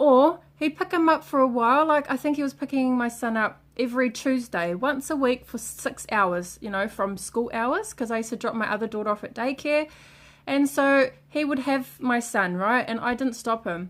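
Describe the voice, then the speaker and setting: A loud, animated woman with a high pitch talks at a moderate pace with hardly any pauses. Her intonation is lively. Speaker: vlogger. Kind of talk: rant.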